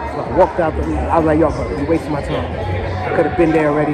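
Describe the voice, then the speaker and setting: Against crowd noise in the background, a man talks at a fairly quick pace. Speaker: travel vlogger. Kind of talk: casual vlog chat. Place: bar. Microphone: phone near.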